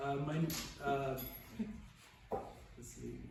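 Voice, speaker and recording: There is noticeable background noise and audible room echo. A man speaks through it in a monotone, flat intonation. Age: 60s. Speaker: formerly unhoused veteran. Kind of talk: testimony. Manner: halting.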